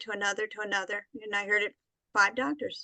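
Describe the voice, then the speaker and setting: A woman's bright, sharp voice at a fairly quick pace, with fairly even intonation and a dry, close sound with no echo. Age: 70s. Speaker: art therapist and author, cancer survivor. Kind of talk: interview.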